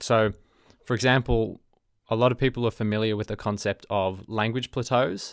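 On a very clean recording with a silent background, a man with an Australian accent speaks in a monotone, flat intonation. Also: medium pitch for a man, moderate pace, dry, close sound with no echo. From Melbourne, Australia. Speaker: podcast host, language learner, engineering student. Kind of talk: solo podcast intro monologue. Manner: halting, with frequent fillers.

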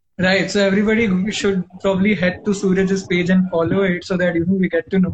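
A man with an Indian accent talks at a fairly quick pace in a high pitch. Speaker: podcast host. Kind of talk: casual interview chat. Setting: video call.

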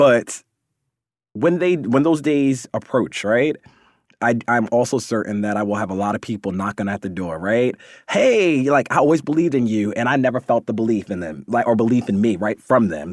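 In a very clean recording with a silent background and dry, close sound without echo, a man with an unremarkable speaking voice talks at medium pitch with lively intonation. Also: moderate pace. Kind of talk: pep talk. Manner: warm, encouraging.

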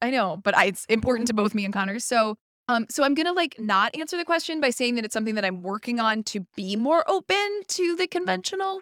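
A woman speaks at a very fast pace with an American accent. Her fairly high voice makes very wide swings in pitch. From Pittsburgh, US. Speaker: wine shop owner and podcast host. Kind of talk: casual chat. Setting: studio, in person.

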